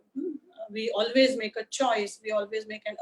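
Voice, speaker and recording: With an Indian accent, a woman speaks at a fairly high pitch with ordinary pitch variation, the sound dry and close with no echo. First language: Marathi. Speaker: history lecturer. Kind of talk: lecture. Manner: hesitant, many uh fillers.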